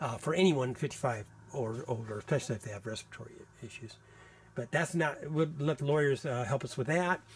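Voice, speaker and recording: Somewhat breathy and at a fairly quick pace, this voice has an American accent and ordinary pitch variation. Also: man, fairly high pitch for a man. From US Midwest, Iowa farming community. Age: 60s. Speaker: tenant documenting housing conditions. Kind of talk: video walkthrough, self-recorded documentation. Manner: halting, many fillers and restarts.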